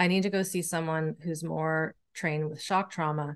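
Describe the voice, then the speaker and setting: The speaker has a normal speaking voice and a fairly even intonation. The pace is moderate, and the background is quiet. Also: woman. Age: 40s. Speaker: nervous system educator and somatic practitioner. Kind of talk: interview conversation.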